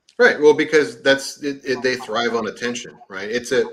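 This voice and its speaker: A man speaks in an ordinary speaking voice. His pace is fairly quick. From US South, East Texas. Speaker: livestream guest. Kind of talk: casual chat.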